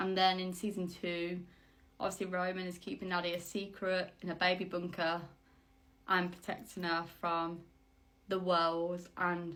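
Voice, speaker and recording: A woman's flat, monotone voice in a West Midlands accent at a moderate pace, with audible room echo. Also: medium pitch for a woman. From West Midlands, England. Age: 20s. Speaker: vlogger, aspiring actress. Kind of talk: casual vlog monologue.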